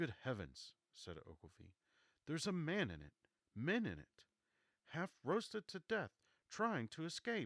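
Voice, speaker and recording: A man speaks with long, frequent pauses and big swings in loudness. The sound is dry and close, with no echo. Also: fairly slow pace. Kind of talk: audiobook reading of classic novel. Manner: soft-spoken.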